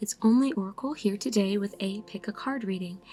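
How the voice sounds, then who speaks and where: Soft-spoken and somewhat breathy, a woman talks at a moderate pace in a calm tone, her voice dark and mellow yet fairly high in pitch, with lively intonation. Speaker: tarot card reader. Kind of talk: ASMR-style tarot reading. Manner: soft calm ASMR style.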